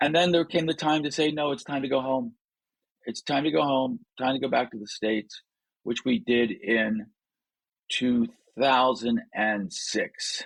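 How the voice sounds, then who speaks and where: Pausing long and often, a man of medium pitch speaks at a fairly slow pace with lively intonation. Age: 60s. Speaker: leadership coach and author. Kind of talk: interview conversation.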